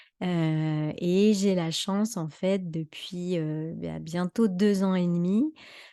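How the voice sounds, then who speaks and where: A woman with a fairly low pitch talks at a very slow pace, her intonation fairly even. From western France (Anjou). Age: 30s. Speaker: holistic coach. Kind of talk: live talk. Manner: hesitant, many fillers.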